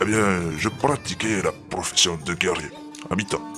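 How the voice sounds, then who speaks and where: Against clear music in the background, a man does a put-on character voice at a very deep, low pitch and a moderate pace. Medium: audio drama. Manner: gruff.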